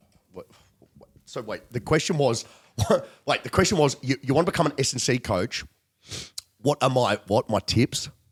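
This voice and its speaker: Over a dry, close sound with no echo, a man with an Australian accent speaks at medium pitch and a moderate pace, his intonation lively. His loudness swings widely, and he leaves long, frequent pauses. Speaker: performance coach and podcast host. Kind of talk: casual chat. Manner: animated.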